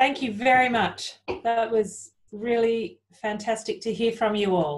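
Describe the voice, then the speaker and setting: A somewhat breathy woman with an Australian accent, over a quiet background. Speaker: panel moderator. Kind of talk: moderating Q&A. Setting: video call. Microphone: video call.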